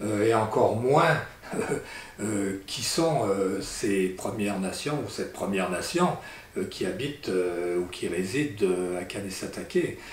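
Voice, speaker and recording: A man with a fairly low pitch and lively intonation speaks at a very slow pace, with audible room echo and noticeable background noise. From Italy, then France. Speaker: landowner. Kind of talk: community address. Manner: halting, many hesitations.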